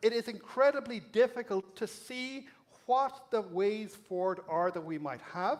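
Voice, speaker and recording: A man speaks at a fairly slow pace with a slight Irish accent. His high voice shows ordinary pitch variation. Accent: Irish brogue, slight. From Ireland. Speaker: academic speaker. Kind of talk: public lecture.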